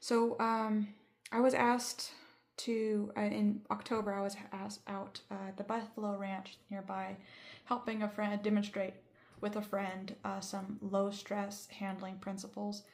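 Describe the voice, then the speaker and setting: The voice is somewhat breathy, with monotone, flat intonation and a fairly slow pace. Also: woman, medium pitch for a woman. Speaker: bison handler. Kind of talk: casual talk to camera. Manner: halting, stuttering.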